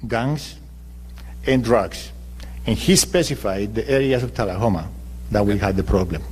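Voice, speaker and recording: With vocal fry and a fairly low pitch, a man talks at a moderate pace with long, frequent pauses. His pitch swings are very wide, and audible room echo is present. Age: 60s. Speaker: mayoral candidate. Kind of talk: political debate. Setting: public forum broadcast on radio.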